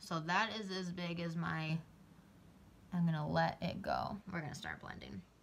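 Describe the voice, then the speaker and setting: A woman talks at a moderate pace with long, frequent pauses. Noticeable background noise can be heard. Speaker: beauty vlogger. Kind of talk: tutorial. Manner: loud; casual.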